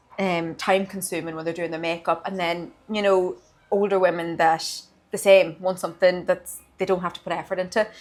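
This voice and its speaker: In an Irish accent, a woman talks at a fairly quick pace with monotone, flat intonation. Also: medium pitch for a woman. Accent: Irish (Louth). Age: 20s. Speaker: beauty therapist and studio owner. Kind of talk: interview.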